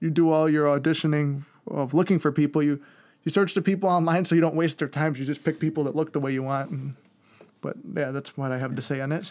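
In an American accent, a man with a fairly high pitch speaks at a very fast pace on a very clean recording with a silent background. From Chicago, South Side. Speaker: actor and content creator. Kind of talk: casual interview.

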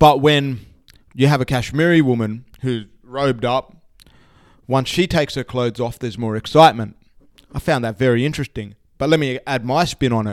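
A man at a medium pitch with an Australian accent, at a fairly quick pace. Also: ordinary pitch variation. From Australia, Sydney. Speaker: author and speaker. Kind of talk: casual interview chat. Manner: halting, many fillers.

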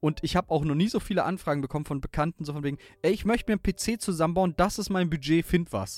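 Speaking very fast at a high pitch with ordinary pitch variation, a man is heard in a very clean recording with a silent background and a dry, close sound with no echo. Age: 20s. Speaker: gaming podcaster and streamer. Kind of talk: casual chat.

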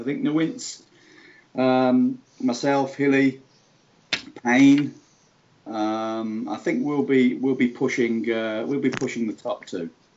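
A man speaks in a British accent at a fairly slow pace. His pitch is fairly high, with ordinary variation. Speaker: guest, football gamer. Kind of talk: casual chat.

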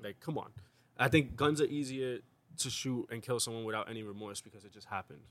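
Talking at a very fast pace with a New York accent, a man uses a medium pitch, ordinary pitch variation, and big swings in loudness. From New York, South Bronx. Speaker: podcast co-host. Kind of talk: casual chat.

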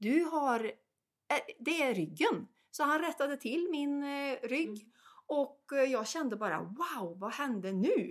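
A woman's high voice at a very slow pace, with very wide pitch swings. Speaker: health coach. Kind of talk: casual conversation.

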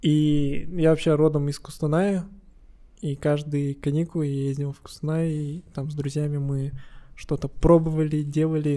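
A man with a dark, mellow tone and a fairly high pitch talks at a moderate pace, flat and monotone in intonation yet with big swings in loudness. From Kazakhstan, Kostanay. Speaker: business owner, flower shop. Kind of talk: casual chat.

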